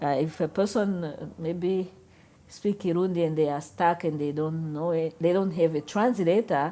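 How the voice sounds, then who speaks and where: Speaking at a moderate pace, a woman with a Rwandan accent has a dark, mellow tone and fairly low pitch. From Rwanda, later Namibia. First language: Kinyarwanda. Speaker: interviewee. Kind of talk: interview. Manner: halting.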